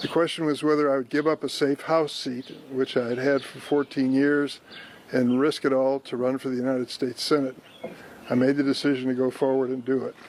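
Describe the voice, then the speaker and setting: Over noticeable background noise, a man with a Midwestern American accent speaks fairly quickly at a medium pitch in a monotone, flat intonation. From East St. Louis, Illinois. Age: 80s+. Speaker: US senator. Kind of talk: prepared political announcement.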